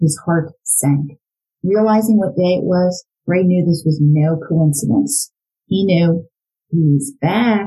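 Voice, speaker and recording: At a fairly slow pace, a somewhat breathy woman speaks at medium pitch with a dark, mellow tone and lively intonation. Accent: American. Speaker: true crime podcast host and former psychology educator. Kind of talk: true-crime narration, reading aloud from the book in a serious storytelling mode. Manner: measured, grave and suspenseful.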